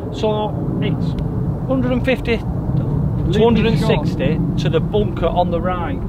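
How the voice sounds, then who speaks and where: Amid loud background noise, a man speaks at a fairly slow pace in a dry sound with no echo. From Bolton, England. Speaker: experienced golfer giving tips. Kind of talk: casual golf vlog commentary. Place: open country.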